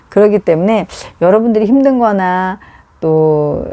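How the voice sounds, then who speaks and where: The speaker keeps a moderate pace, the intonation lively throughout. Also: woman. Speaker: live streamer offering advice. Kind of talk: casual live stream chat. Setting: at home. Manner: halting, many fillers.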